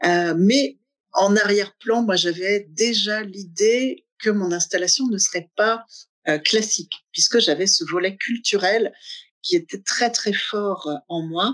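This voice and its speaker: Her pitch sits in the middle range and varies in an ordinary way. This woman talks very slowly. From Normandy, Manche. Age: 50s. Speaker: garden owner and laughter yoga facilitator. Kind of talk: interview. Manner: hesitant, many fillers.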